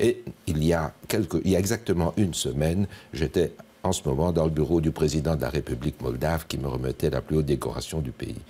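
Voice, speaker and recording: A man talks at a fairly quick pace with a very deep, low pitch. His pitch varies in an ordinary way. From Belgium, Liège. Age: 70s. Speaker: politician and retired neurosurgeon. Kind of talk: TV interview.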